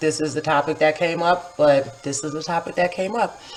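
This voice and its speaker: Music plays behind a woman with an American accent. Her voice is fairly low-pitched, and her intonation stays fairly even. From upstate New York, Kingston. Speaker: poet and vlogger. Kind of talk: casual vlog monologue. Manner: casual, filler-heavy.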